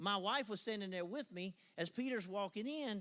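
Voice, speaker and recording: The speaker is a man. He has a Southern US accent. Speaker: pastor. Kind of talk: church service welcome and introduction. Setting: church. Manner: animated.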